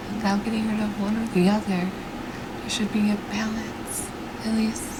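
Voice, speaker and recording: A soft-spoken woman whispering at a moderate pace, with noticeable background noise. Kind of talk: ASMR whispered ramble, casual personal talk. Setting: home recording with fan noise in low light. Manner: soft-spoken, whispered.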